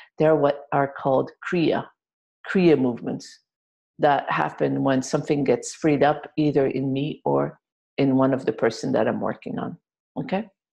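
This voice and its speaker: In a French accent, a woman talks at a moderate pace against a quiet background. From France. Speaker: healer and workshop leader. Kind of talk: group healing webinar. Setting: video webinar. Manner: occasional involuntary jolts and exclamations.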